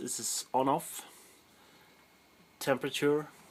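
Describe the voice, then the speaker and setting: A man with a Swedish accent speaks very slowly at a medium pitch. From Sweden. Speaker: hobbyist sausage maker. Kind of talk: tutorial. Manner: halting.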